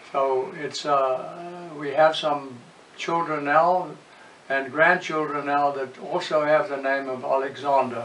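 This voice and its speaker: A very slow man's voice at a fairly high pitch, with fairly even intonation, audible room echo and noticeable background noise. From South Africa, Bloemfontein. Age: 80s+. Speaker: family history narrator. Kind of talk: oral history recollection.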